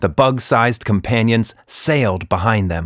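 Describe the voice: Someone reads the text aloud plainly.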